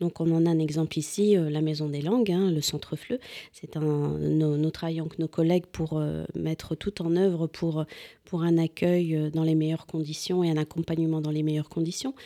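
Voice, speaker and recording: A woman's very deep, low voice with a dark, mellow tone, fairly even intonation and a moderate pace. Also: dry, close sound with no echo. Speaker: university international relations deputy director. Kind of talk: formal interview. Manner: formal.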